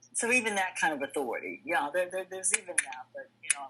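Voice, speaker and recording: A woman talks at a fairly quick pace and medium pitch, with very wide pitch swings. Noticeable background noise runs under her voice. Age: 60s. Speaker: recovery group member. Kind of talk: testimony. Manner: halting.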